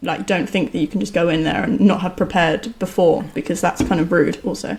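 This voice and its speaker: A woman talks at a fairly quick pace. Vocal fry runs through her voice. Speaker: software engineer and book co-author. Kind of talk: casual chat.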